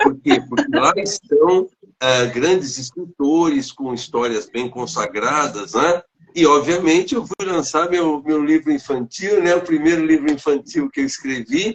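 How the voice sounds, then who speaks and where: A man's fairly high, lively voice at a fairly slow pace. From São Paulo state, Brazil. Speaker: teacher and author. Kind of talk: interview. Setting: online live stream. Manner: halting.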